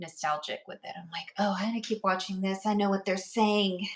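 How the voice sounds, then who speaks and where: The speaker is a woman. She talks at a mid-level pitch. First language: Urdu/Hindi. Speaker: podcast co-host. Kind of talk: casual chat.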